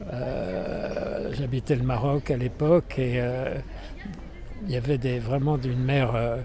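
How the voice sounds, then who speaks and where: A man of medium pitch speaks at a very slow pace with long, frequent pauses. There is audible room echo and noticeable background noise. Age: 80s. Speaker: elderly interviewee. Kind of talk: street interview. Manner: halting, many fillers.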